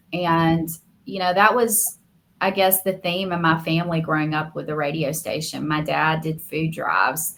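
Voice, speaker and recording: At a moderate pace, the speaker uses a Southern US accent with ordinary pitch variation. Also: woman, fairly low pitch for a woman. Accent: Southern American. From US South, Alabama. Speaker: media lawyer and podcaster. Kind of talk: interview. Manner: heartfelt, earnest.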